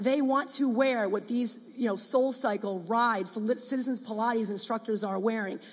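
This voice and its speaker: A woman speaks at a moderate pace with a US Northeastern accent. Her pitch is fairly high and her intonation fairly even. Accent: US Northeast. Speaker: startup founder. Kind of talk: pitch presentation.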